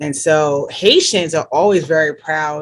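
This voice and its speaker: Fairly even intonation runs through this woman's speech. She has a fairly low pitch and a slight New Jersey accent. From New Jersey, US, Caribbean-born parents. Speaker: health care worker, church member. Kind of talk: interview. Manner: hesitant, many fillers.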